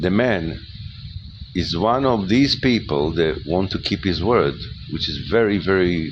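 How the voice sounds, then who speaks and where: A man with a non-native accent speaks at a fairly slow pace in a very deep, low voice with lively intonation. Noticeable background noise and audible room echo come through on the recording. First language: not English. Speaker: spiritual lecturer. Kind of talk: monologue talk. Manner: halting, with many repetitions.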